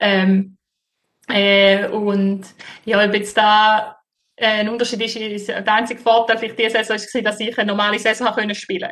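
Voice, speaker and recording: A woman speaks with a St. Gallen accent. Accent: St. Gallen Swiss German dialect. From Switzerland, St. Gallen. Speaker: floorball player. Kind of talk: interview. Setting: remote call from Sweden. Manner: hesitant, many fillers.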